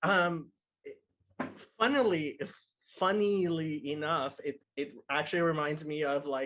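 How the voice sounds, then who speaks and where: The delivery is fairly slow with long, frequent pauses and ordinary pitch variation. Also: man, fairly high pitch for a man. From outside US, immigrated as a child. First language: not English (English is third language). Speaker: podcast guest. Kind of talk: casual chat.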